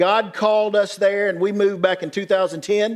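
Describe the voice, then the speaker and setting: Speaking in a Southern US accent, a man talks at a fairly quick pace in an animated tone. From rural West Tennessee. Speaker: pastor. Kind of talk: conference talk.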